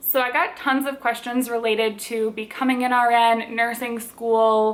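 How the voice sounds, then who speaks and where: This woman has a fairly high-pitched voice. She speaks with a Minnesotan accent. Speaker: lifestyle and cooking vlogger. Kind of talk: casual Q&A vlog.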